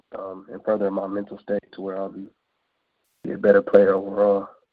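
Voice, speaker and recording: Speaking fairly quickly, a man with an American accent uses a fairly low pitch. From Northern California Bay Area. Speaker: football prospect. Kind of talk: interview.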